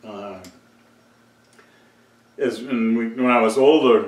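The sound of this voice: A man speaks slowly at a medium pitch with ordinary pitch variation. Room echo is audible.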